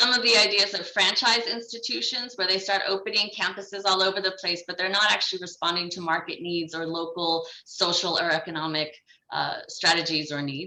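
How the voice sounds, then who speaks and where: Over noticeable background noise, a woman talks at a fairly quick pace. Her pitch varies in an ordinary way. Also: medium pitch for a woman. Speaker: development bank education specialist. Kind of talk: conference presentation. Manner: fast.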